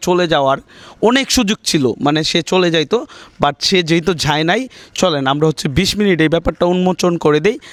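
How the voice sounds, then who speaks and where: High pitch for a man, ordinary pitch variation, and a dry, close sound with no echo. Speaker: YouTuber doing street surprise videos. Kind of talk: casual vlog narration. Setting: outdoors on street at night.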